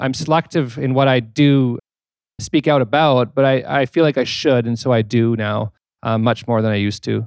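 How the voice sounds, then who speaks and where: At a moderate pace and with ordinary pitch variation, an ordinary speaking voice with a Canadian accent sounds dry and close, with no echo. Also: man, medium pitch for a man. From Manitoba, Canada. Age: 40s. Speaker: author. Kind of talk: on-stage interview. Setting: stage with audience.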